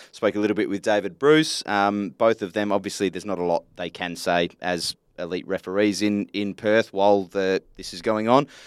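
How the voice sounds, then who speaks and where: With an Australian accent, a man talks at a moderate pace with hardly any pauses in a fairly low voice, recorded dry and close with no echo against a silent background. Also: fairly even intonation. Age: 30s. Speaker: football podcast host. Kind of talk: casual chat. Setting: studio.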